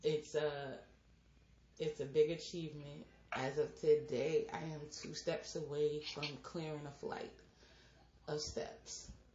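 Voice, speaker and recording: Speaking at a very slow pace with long, frequent pauses, a woman uses a very deep, low pitch with vocal fry. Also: big swings in loudness. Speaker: podcast host. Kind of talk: casual chat. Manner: animated.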